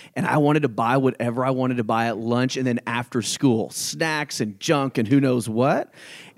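With an American accent and a plain, everyday voice, a man talks at a moderate pace and medium pitch, his intonation fairly even and his speech hardly pausing, on a very clean recording with a silent background. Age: 30s. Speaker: real estate brokerage owner. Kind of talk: casual interview. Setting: studio.

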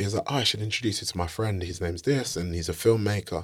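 A man with a South London accent speaks at a fairly quick pace with fairly even intonation, in a very clean recording against a silent background. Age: 30s. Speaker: film director and screenwriter. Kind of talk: casual interview chat.

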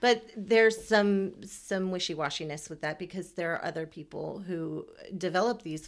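This woman has a plain, everyday voice with a fairly low pitch and an American accent. She keeps a moderate pace with ordinary pitch variation and hardly any pauses. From Texas, Houston. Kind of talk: casual chat.

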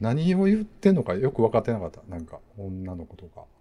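Here a man speaks with a dark, mellow tone, somewhat breathy. His pitch swings very wide. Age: 40s. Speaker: podcast host. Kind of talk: casual chat.

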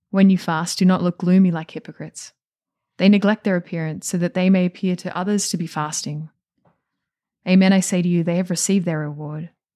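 A woman with an Australian accent talks at a fairly quick pace in a fairly low pitch, with a dark, mellow tone and monotone, flat intonation. The recording is very clean with a silent background and a dry, close sound with no echo. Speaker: nun and podcast co-host.

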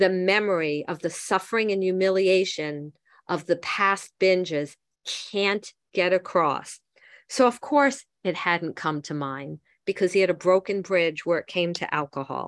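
A woman with an ordinary speaking voice talks at a fairly slow pace and medium pitch with ordinary pitch variation, dry and close with no echo, in a very clean recording with a silent background. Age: 60s. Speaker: twelve-step recovery meeting leader. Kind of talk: recovery meeting talk reading from a book.

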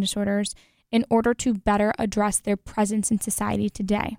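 In a dry, close sound with no echo, a woman talks very fast at a fairly high pitch with monotone, flat intonation. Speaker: college student podcast host. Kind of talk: solo educational monologue.

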